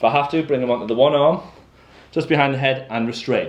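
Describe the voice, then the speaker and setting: Talking at a very fast pace, a man with a fairly high pitch shows vocal fry. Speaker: college animal care lecturer. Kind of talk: practical tutorial. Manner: loud.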